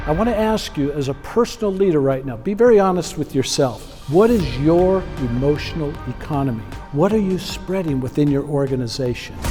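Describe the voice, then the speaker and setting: Music plays in the background as a man talks at a fairly quick pace with hardly any pauses. His intonation is lively. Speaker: keynote speaker on leadership and emotional intelligence. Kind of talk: keynote speech to an audience. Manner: high-energy, motivational.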